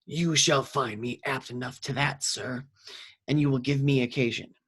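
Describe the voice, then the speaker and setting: Using a put-on character voice, a man speaks raspily at a medium pitch and a moderate pace with fairly even intonation. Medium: read story. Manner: haughty, aggressive.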